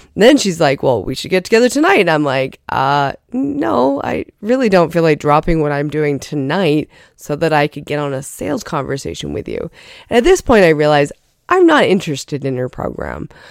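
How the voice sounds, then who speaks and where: In a very clean recording with a silent background, a woman speaks at a moderate pace with a very deep, low pitch, vocal fry and lively intonation. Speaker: podcast host, life coach. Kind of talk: solo podcast monologue. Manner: casual, conversational.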